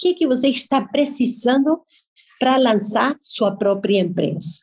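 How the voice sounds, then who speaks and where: Her intonation lively, a woman with a Spanish accent speaks in a fairly high voice. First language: Spanish (speaking Portuguese). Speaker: journalist and business event organizer. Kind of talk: interview.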